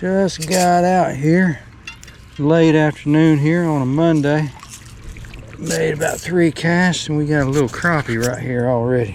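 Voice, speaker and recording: Noticeable background noise sits behind a man with a Southern US accent. He talks at a fairly slow pace in a fairly high pitch. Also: ordinary pitch variation. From Tennessee. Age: 60s. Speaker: bank fisherman. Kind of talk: casual talk to camera. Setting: outdoors.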